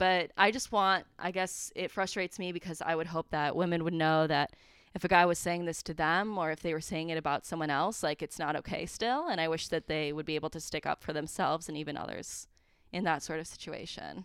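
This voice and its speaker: In a plain, everyday voice, a woman with an American accent talks at a fairly quick pace with fairly even intonation and a fairly low pitch. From central Wisconsin. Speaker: recent graduate, business employee. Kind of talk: casual interview.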